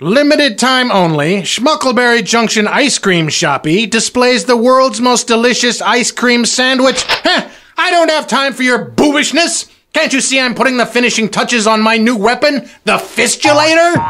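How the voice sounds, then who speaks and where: A man puts on a character voice at an extremely high pitch, cackling in a raised, projected voice with lively intonation, very even loudness and a moderate pace. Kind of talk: comic overacting. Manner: boastful, crude, cackling.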